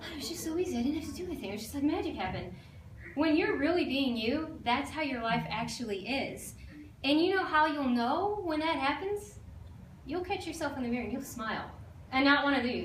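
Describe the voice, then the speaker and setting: A high-pitched woman's voice with lively intonation at a fairly quick pace, with audible room echo. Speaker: life coach. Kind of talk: talk to an audience. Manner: fast; animated.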